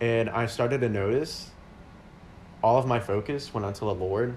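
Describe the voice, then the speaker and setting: Over audible room echo, a man speaks somewhat breathily at a moderate pace. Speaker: podcast co-host, radiology scheduler. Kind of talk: casual chat.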